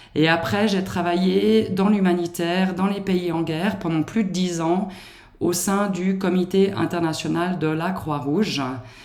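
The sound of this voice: Speaking at a fairly slow pace, a woman with a slight Swiss French accent uses a fairly low pitch, a slightly mellow tone and fairly even intonation.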